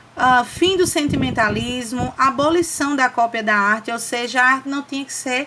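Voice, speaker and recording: A woman speaks in a raised, projected voice at a high pitch with ordinary pitch variation. Her pace is moderate, and there is noticeable background noise. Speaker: teacher. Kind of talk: lecture.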